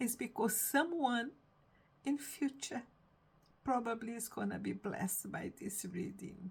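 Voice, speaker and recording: Vocal fry colors a woman's voice as she speaks at a fairly slow pace with ordinary pitch variation. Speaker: reading a book aloud online.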